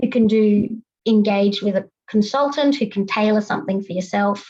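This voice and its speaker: A woman with an Australian accent has a dark, mellow tone that is somewhat breathy. Her pitch shows ordinary variation. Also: fairly high pitch for a woman. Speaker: compliance consultant. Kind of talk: panel presentation. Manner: fast.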